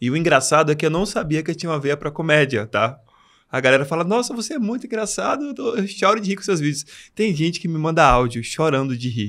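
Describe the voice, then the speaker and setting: A man talking at a very fast pace, his pitch swinging very widely, on a very clean recording with a silent background. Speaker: English teacher and comedic content creator. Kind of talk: podcast interview. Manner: soft-spoken.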